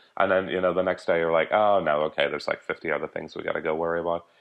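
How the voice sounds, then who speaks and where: A man with an Irish accent speaks with ordinary pitch variation. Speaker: conference organizer and publisher. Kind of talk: interview.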